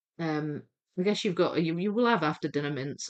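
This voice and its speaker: A woman is speaking. The background is quiet. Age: 40s. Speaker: jigsaw puzzle livestreamer. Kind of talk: live stream chat while reading viewer comments. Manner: chatty, hesitant with fillers.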